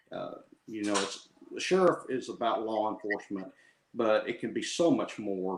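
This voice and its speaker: Speaking at a moderate pace, a man with a Southern US accent has a fairly low-pitched voice. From southwest Arkansas (Texarkana). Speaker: sheriff candidate, deputy sheriff. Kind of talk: interview. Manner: hesitant, many fillers.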